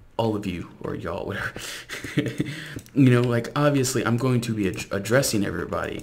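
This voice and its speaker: The speaker has an American accent. Audible room echo and noticeable background noise are present. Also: man. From South Louisiana. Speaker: gaming YouTuber. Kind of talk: casual gameplay commentary.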